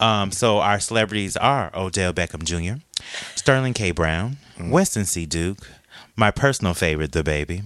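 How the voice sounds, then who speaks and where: Lively intonation from a man with very deep, low pitch, at a moderate pace. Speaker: podcast host. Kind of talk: casual chat.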